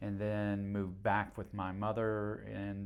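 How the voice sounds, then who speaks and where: With audible room echo, a man in an American accent speaks at a very slow pace and a fairly low pitch, his intonation monotone and flat. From North Carolina (Cary/Raleigh area), partly rural Georgia. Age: 70s. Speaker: mayor. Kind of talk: interview. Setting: in-person at town hall.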